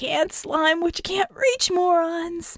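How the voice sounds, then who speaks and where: The voice is a put-on character at an extremely high pitch. Its delivery is fairly slow. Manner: taunting.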